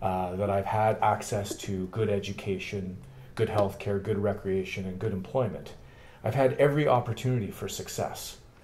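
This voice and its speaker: This man's fairly low voice is somewhat breathy and keeps a fairly even intonation. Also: moderate pace. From Canada, Thunder Bay, Ontario. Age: 40s. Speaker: political candidate. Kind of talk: interview. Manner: halting.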